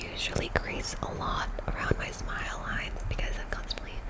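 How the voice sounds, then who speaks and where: Whispered words from a woman at a moderate pace, with noticeable background noise behind them. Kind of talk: ASMR makeup tutorial, casual talk to camera. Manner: whispered, soft-spoken.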